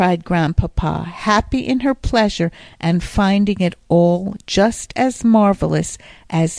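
Plain reading aloud makes up this recording. The text is simply read through.

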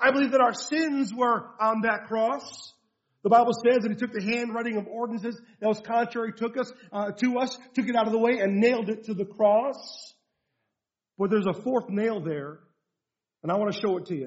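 In an animated tone, a man talks at a fairly quick pace with a high pitch and ordinary pitch variation. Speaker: preacher. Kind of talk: sermon to a men's rally, passionate pulpit preaching. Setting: church or hall with a live audience and microphone. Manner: animated, forceful, pressing rhetorical questions and urgent exhortation; humorous, relaxed storyteller in the opening.

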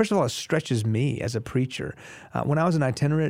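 A man with a Texas accent speaks at a very fast pace and medium pitch with lively intonation, on a very clean recording with a silent background. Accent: American (Texas). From Houston area, Texas, US (Iranian family, early childhood in Iran). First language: Farsi. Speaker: pastor. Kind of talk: interview, testimony.

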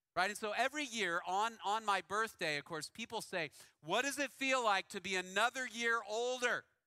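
A man with a high-pitched, raised and projected voice talks at a moderate pace with ordinary pitch variation. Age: 40s. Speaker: pastor. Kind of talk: sermon. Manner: casual, conversational with frequent fillers.

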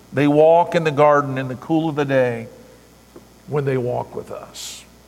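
Background noise is noticeable here. There is also audible room echo. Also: man. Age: 50s. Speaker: pastor. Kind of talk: sermon. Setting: church.

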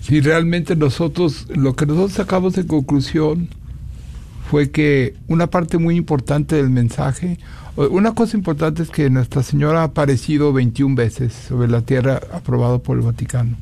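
A man with a fairly high pitch and a dark, mellow, somewhat breathy tone talks at a moderate pace, with ordinary pitch variation and very even loudness. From Mexico, Guanajuato. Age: old. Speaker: maker of religious images. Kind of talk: radio interview.

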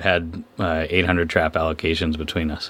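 This man's voice has a bright, sharp tone. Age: 30s. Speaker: fisherman and fisheries advocate. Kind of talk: interview. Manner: halting.

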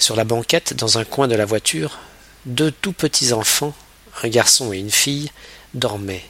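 A man speaks at a fairly slow pace with long, frequent pauses. His tone is bright and sharp, the sound dry and close with no echo. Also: medium pitch for a man, ordinary pitch variation. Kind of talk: literary audiobook reading, scripted narration of a novel. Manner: measured, storytelling pace with shifting tone, voicing dialogue lines briefly.

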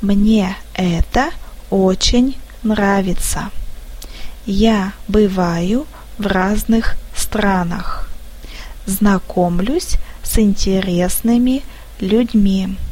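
Delivered at a very slow pace with long, frequent pauses and fairly even intonation, the speech carries audible room echo and noticeable background noise. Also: woman, medium pitch for a woman. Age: 30s. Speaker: office manager. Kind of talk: scripted narration.

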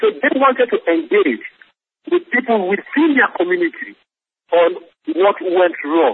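A man with a Sierra Leonean accent at an extremely high pitch, with very wide pitch swings, a moderate pace, very even loudness and long, frequent pauses. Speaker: peacebuilding program director. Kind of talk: interview. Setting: phone call.

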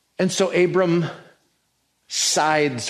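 A man's voice carries audible room echo. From New Mexico. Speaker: pastor. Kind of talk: sermon.

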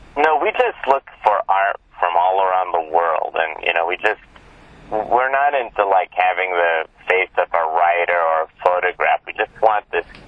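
Amid noticeable background noise, a man with a very deep, low pitch speaks at a moderate pace with ordinary pitch variation. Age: 40s. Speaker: magazine editor. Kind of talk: interview.

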